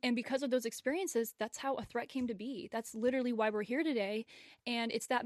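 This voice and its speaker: A woman with an unremarkable speaking voice, fairly high in pitch, with fairly even intonation, in a dry, close sound with no echo and a quiet background. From US South (Memphis, Tennessee). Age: young. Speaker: dance choreographer and creative director, podcast co-host. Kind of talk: casual chat.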